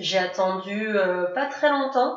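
In a room with audible echo, a woman speaks at a medium pitch and a very slow pace. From France, near Grenoble. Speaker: adoptee sharing her story. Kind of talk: interview testimony.

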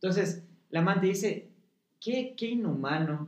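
A man talks in an animated tone at a fairly slow pace, his pitch varying in an ordinary way. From Ecuador, Quito (highlands). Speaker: actor. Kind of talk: casual chat.

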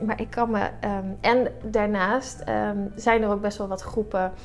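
Moderately paced female speech amid audible room echo and noticeable background noise. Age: 30s. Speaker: breast cancer patient, blood bank donor assistant. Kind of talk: interview. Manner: halting.

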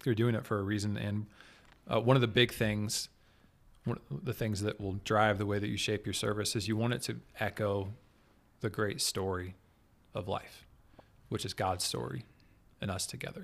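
A man with an American accent speaks at a moderate pace in a fairly low pitch, with vocal fry and ordinary pitch variation. Long, frequent pauses break up his speech on a very clean recording with a silent background. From Kansas City area, US Midwest. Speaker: guest, church worship leader. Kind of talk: casual interview chat.

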